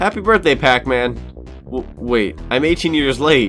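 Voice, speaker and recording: The voice has an upbeat, playful tone at a moderate pace, with music playing in the background. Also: man. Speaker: gaming YouTuber. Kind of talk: video game review narration. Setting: home studio microphone.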